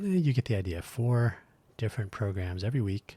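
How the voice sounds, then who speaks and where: A man talks at a fairly quick pace. His tone is dark and mellow, somewhat breathy. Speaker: podcast host. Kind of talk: solo podcast monologue. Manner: rambling, self-correcting.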